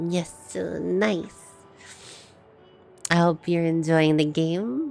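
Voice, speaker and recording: Music plays behind a woman who talks at a very slow tempo. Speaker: vtuber streamer. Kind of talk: live gaming stream.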